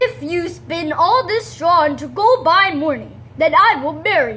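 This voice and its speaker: A put-on character voice at a moderate pace. There is light background noise behind it. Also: woman, extremely high pitch for a woman. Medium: read story.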